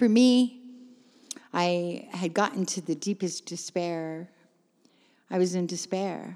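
A woman's dark, mellow voice at a fairly slow pace. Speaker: recovering addict and hospice volunteer. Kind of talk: testimony.

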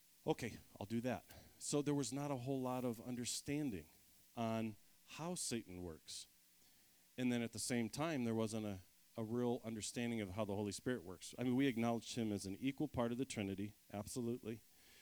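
With an American accent and a normal speaking voice, a man talks at medium pitch and a fairly quick pace. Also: ordinary pitch variation. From Ohio, US (outside Cleveland). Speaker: ministry speaker. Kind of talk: sermon.

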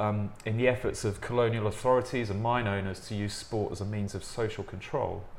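Hardly pausing at all, a man with an English accent speaks at a fairly quick pace in a fairly low pitch and a monotone, flat intonation. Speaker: podcast host. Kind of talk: interview conversation.

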